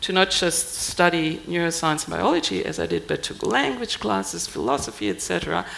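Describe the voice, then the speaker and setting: Over noticeable background noise, a woman with a German accent talks at a moderate pace. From Germany. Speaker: scientist, embassy science officer. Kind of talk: panel discussion.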